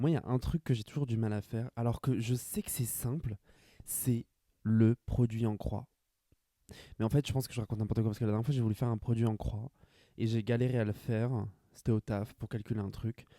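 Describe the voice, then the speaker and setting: This man talks at a fairly quick pace with long, frequent pauses, a medium pitch, a dark, mellow tone and fairly even intonation, in a dry, close recording with no echo. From France, Grand Est (rural village). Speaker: podcaster. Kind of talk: casual solo monologue.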